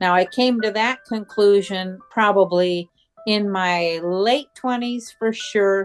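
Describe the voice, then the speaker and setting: Over music in the background, a woman with an American accent speaks at a very slow pace and medium pitch with fairly even intonation. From USA. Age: 70s. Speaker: spiritual advisor YouTuber. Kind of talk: interview.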